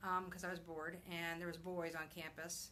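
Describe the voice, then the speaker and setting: A woman with a medium pitch speaks at a moderate pace, with audible room echo. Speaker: blogger and vlogger. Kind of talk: casual live video chat. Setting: live video broadcast at home. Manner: halting, many fillers.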